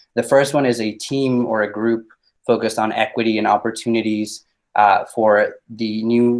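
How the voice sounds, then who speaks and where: A man speaks in a Spanish accent at a moderate pace. His medium-pitched voice stays monotone and flat. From Mexico. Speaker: public commenter, former student. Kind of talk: public comment testimony. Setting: virtual online meeting.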